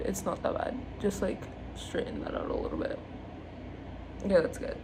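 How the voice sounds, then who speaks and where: A woman talks at a fairly quick clip with long, frequent pauses, her voice carrying audible room echo over noticeable background noise. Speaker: beauty vlogger. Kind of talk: makeup tutorial. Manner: fast; casual, chatty.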